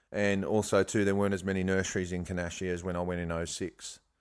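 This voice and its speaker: A man's very deep, low, monotone voice with an Australian accent at a fairly quick pace, on a very clean recording with a silent background. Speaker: bonsai grower, former nursery owner. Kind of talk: casual interview chat.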